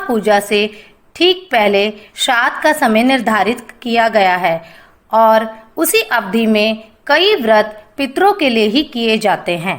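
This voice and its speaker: Fairly high in pitch, a woman with an unremarkable speaking voice keeps very even loudness alongside lively intonation. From Haryana, India. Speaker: voice-over artist; anchor. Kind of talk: religious festival explainer narration.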